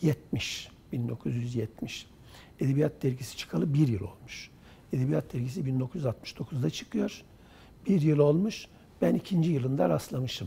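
A man with a medium pitch and a dark, mellow, somewhat breathy tone speaks very slowly, his pitch swinging very widely. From Central Anatolia, Turkey (rural Kırşehir). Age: 70s. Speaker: writer and literary publisher. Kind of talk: oral history interview.

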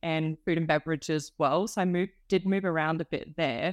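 An Australian accent marks this woman's fairly low-pitched voice, with fairly even intonation at a moderate pace. The background is quiet, and the sound is dry and close with no echo. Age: 20s. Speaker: hospitality graduate. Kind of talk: casual interview.

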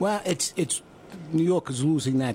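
A man talks fairly slowly while noticeable background noise carries on behind him. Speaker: radio show guest.

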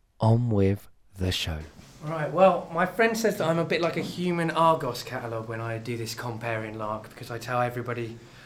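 With lively intonation and a medium pitch, a man talks at a fairly quick pace amid audible room echo. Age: 30s. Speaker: comedy night host. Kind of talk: live compering to audience. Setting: theatre stage with live audience.

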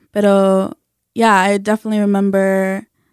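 Speaking with an American accent in a normal speaking voice, a woman keeps a medium pitch, fairly even intonation and a moderate pace, with a dry, close sound with no echo. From US South, North Carolina. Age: 20s. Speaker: community organizer and interpreter. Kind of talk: casual interview. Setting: radio studio.

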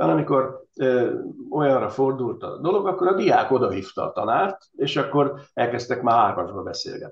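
Here a man speaks at a fairly high pitch, somewhat breathy. His pitch swings very widely. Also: moderate pace. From Hungary, Veszprém. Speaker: university professor, former rector. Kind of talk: interview. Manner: halting, with many repetitions.

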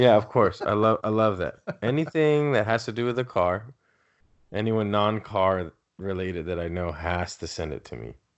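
This voice has ordinary pitch variation and a Southern Californian accent. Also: man, fairly low pitch for a man, moderate pace, big swings in loudness. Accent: Southern California American. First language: Spanish. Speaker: podcast co-host. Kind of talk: casual chat.

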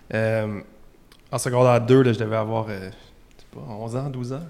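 A man speaks with a Quebec accent at a medium pitch. His intonation stays fairly even. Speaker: musician, bassist. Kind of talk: casual interview chat.

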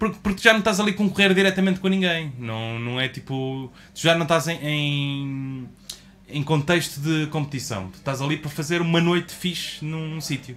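A fairly high-pitched man in a European Portuguese accent, at a moderate pace with ordinary pitch variation. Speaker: podcast co-host. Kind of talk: casual chat.

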